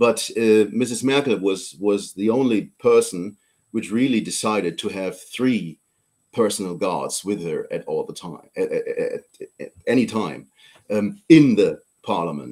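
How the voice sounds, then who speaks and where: Speaking with a German accent, a man takes his words at a fairly slow pace. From Germany. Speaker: politician. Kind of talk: interview. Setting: live stream. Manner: halting.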